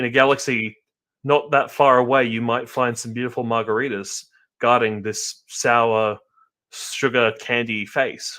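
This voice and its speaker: A man with an Australian accent talks fairly slowly at a medium pitch, his tone bright and sharp and his intonation monotone and flat. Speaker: podcast host. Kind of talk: casual chat.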